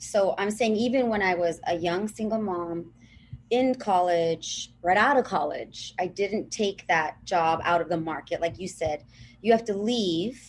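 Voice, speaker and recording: A woman speaks with a Southern California accent. Her pitch is medium. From Los Angeles (Pico Rivera), Southern California. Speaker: TV and radio broadcaster. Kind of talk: podcast interview.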